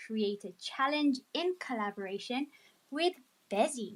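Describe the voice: A woman speaks at a fairly slow pace, her pitch fairly high and her tone fairly bright.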